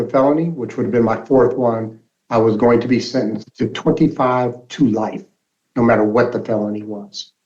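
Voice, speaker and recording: In a General American accent, a man talks in an unremarkable speaking voice at medium pitch and a moderate pace, with ordinary pitch variation. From Alaska (Anchorage). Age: 60s. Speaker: nonprofit mentor and advocate. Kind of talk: interview testimony.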